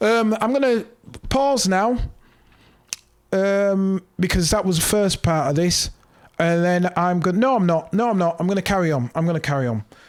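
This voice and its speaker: Keeping his loudness very even, a man with a high voice speaks at a moderate pace with lively intonation and long, frequent pauses. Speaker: music producer tutorial host. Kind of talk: tutorial. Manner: casual, hesitant with many ums.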